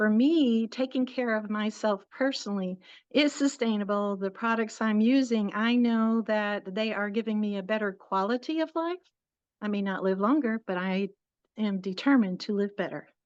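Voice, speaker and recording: An unremarkable speaking voice from a woman with an American accent, fairly high in pitch, at a moderate pace with ordinary pitch variation over a quiet background. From northern US, farm. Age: 60s. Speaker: interviewee sharing health story. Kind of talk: interview. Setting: live stream on social media.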